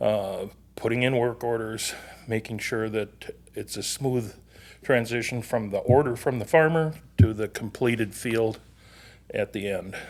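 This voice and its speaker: A man with an American accent talks at a moderate pace and medium pitch. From Minnesota. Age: 60s. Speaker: agronomy account lead. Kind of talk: podcast interview.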